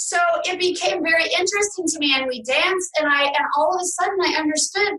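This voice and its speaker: At a moderate pace, a woman with an American accent projects a raised voice at an extremely high pitch. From New York City. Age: 50s. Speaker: trauma recovery coach and author. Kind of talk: interview.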